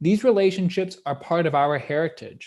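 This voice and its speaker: A man talks with a Canadian accent and ordinary pitch variation. The recording is very clean, with a silent background. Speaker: history professor. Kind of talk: lecture. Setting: live-streamed lecture. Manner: fast.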